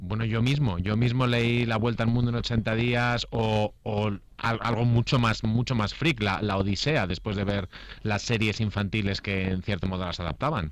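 The man has an unremarkable speaking voice with a fairly low pitch. His pace is moderate, and his pitch variation is ordinary. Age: 40s. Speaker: author. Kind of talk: radio interview.

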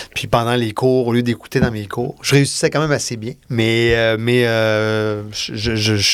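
A man speaks with a Quebec accent at a medium pitch. His intonation is fairly even. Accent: Québécois French. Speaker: film and TV director. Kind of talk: casual interview. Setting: studio.

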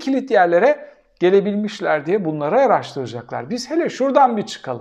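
A man talks in an animated tone with very wide pitch swings over a quiet background. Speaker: political commentator. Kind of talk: solo commentary answering viewer questions.

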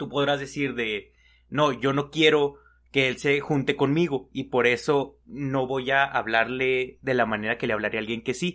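A man with a medium pitch talks at a fairly slow pace with fairly even intonation, against a quiet background. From Mexico. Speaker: podcast co-host. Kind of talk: casual chat.

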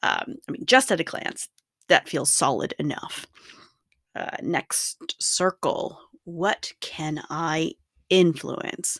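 Very wide pitch swings mark a woman's fairly low voice as she speaks at a very slow pace with an American accent. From US. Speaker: podcast host. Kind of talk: personal monologue.

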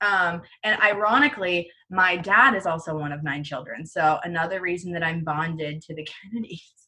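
With hardly any pauses, a woman speaks in a fairly low voice with ordinary pitch variation and big swings in loudness. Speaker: podcast co-host. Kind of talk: casual chat. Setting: remote recording, quarantine. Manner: fast talker.

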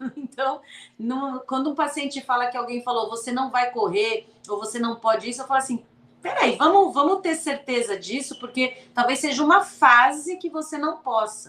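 Bright and sharp in tone, a woman talks at a moderate pace with a high pitch and ordinary pitch variation. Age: 40s. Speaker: sports medicine doctor. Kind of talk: casual interview.

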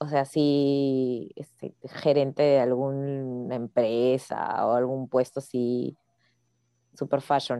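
A woman speaks at a very slow pace with a very deep, low pitch, a dark, mellow tone, and monotone, flat intonation. The sound is dry and close with no echo. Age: 40s. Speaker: podcast co-host, graduate student. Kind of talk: casual chat.

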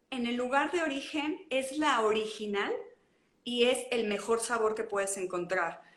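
A woman speaks in a high voice with lively intonation, and the room echo is easy to hear. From Mexico, León (Guanajuato). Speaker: traveler. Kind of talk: casual interview. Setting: livestream.

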